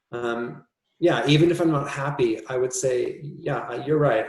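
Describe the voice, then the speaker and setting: Here is a man with a North American accent. His voice is somewhat breathy. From US Midwest, Minnesota. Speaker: composer. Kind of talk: interview conversation. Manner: thoughtful, hesitant with fillers.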